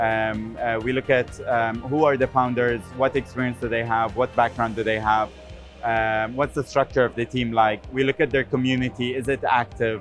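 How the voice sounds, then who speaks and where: A man's voice at a moderate pace, fairly even intonation, dry sound with no echo, faint music in the background. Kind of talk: interview answer. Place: booth. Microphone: lapel.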